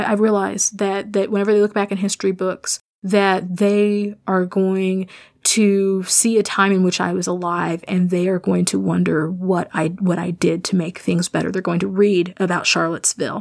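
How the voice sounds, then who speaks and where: An American-accented woman speaks at a medium pitch and a moderate pace, with hardly any pauses. Her intonation is monotone and flat on a very clean recording with a silent background. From rural US Midwest. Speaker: podcast host. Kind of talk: personal monologue. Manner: halting.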